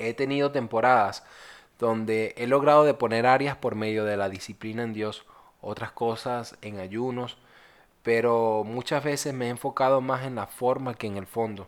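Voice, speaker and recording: Using a plain, everyday voice, a man of medium pitch talks at a moderate pace with fairly even intonation. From Venezuela. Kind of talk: personal testimony and devotional reflection.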